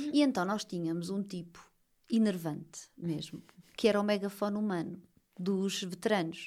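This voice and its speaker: An ordinary speaking voice from a woman, medium in pitch, at a moderate pace with ordinary pitch variation. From Portugal, Lisbon. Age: 30s. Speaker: social media writing teacher and mother. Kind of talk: casual interview.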